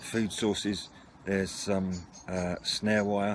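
A man's very deep, low voice, fairly slow and monotone with flat intonation, dry with no echo, over noticeable background noise. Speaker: hobby radio vlogger. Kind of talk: casual product show-and-tell. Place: garden. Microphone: camera far.

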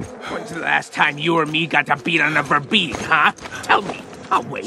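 Clear background noise sits behind a put-on character voice delivered at a middle pitch and a moderate pace.

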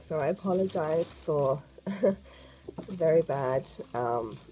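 Speaking at a slow pace, a woman has a dark, mellow tone and a low pitch. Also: lively intonation.

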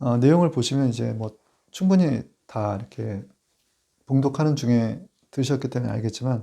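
Dark, mellow tone from a man at medium pitch, lively intonation and a fairly slow pace, in a very clean recording with a silent background. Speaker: pastor. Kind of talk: sermon.

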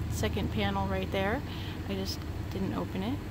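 Loud background noise surrounds a woman's voice. The sound is dry, with no echo. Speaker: car salesperson. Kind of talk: product walkaround commentary. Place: car. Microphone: phone near.

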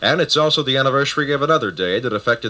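This man has a medium pitch, ordinary pitch variation and a bright, sharp tone. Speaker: radio news broadcaster. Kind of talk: radio news segment. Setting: vintage radio recording. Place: studio. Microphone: old recording.

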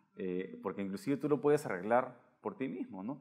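A man with a plain, everyday voice of medium pitch talks at a moderate pace with lively intonation. The background is quiet. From Peru. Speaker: science podcast host. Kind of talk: interview. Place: home room. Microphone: lapel.

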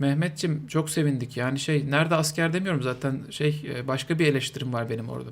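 This man's pitch is fairly high. He talks very fast. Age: 40s. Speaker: streamer. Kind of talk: live stream commentary. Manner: animated.

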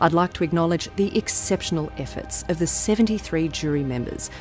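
A woman with a very deep, low pitch at a moderate pace, dry with no echo, over clear music in the background. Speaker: presenter. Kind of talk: formal presentation to camera.

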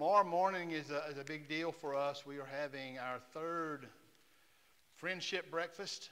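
The man's tone is bright and sharp. He talks at a moderate pace. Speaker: church pastor. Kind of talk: church announcements. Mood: warm, jovial. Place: church.

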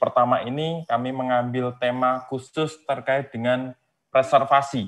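A man at a moderate pace. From Indonesia. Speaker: webinar moderator. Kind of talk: moderating a webinar; formal moderation and summary. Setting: video call. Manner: halting, many fillers. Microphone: earbuds.

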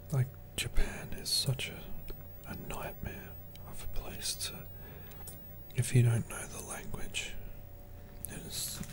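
Whispering in a British accent over noticeable background noise, a man speaks at a very slow pace with long, frequent pauses. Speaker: ASMR creator. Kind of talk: whispered ASMR monologue. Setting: home recording with popcorn eating. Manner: soft whisper, slow and halting; relaxed, hesitant with frequent fillers.

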